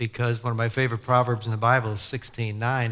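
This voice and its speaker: A normal speaking voice at a fairly quick pace. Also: man. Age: 60s. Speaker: sportscaster. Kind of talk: testimony. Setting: church with audience. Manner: conversational, with many fillers.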